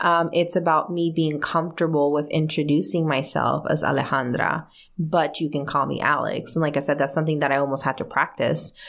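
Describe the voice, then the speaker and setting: A woman's very deep, low voice with vocal fry, fairly quick with hardly any pauses, very even in loudness and fairly even in intonation. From Mexico (Guadalajara), raised in US from age six. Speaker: energy medicine practitioner and leadership coach. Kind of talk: interview. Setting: radio studio.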